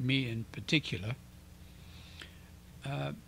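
A man's bright, sharp voice at a fairly slow pace, dry with no echo, over light background noise. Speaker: channel host. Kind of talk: casual talk to camera. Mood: calm, earnest. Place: home room. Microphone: handheld.

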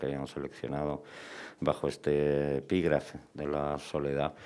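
A man's very deep, low voice moves along at a fairly slow pace. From Spain. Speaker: novelist and filmmaker; guest. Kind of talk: panel discussion. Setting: bookshop event with audience. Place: shop. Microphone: headset.

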